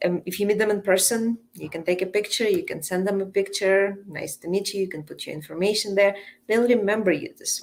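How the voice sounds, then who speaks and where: Speaking in a Russian accent at a fairly quick pace with hardly any pauses, a woman keeps a medium pitch and fairly even intonation while her loudness swings widely. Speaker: coach and entrepreneur. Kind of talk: podcast interview.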